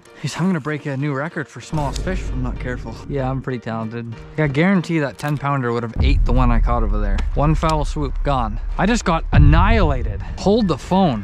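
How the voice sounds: A man talks at a fairly quick pace and medium pitch, with lively intonation. Faint music plays in the background.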